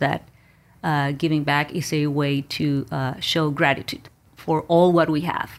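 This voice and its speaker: A woman's very deep, low voice with a Spanish accent and fairly even intonation, on a very clean recording with a silent background. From Mexico. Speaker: business owner. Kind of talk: interview.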